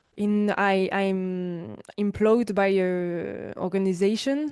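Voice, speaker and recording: In a strong French accent, a woman speaks at medium pitch with fairly even intonation against a quiet background. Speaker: sex educator and podcaster. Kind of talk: online panel discussion. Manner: halting, hesitant English.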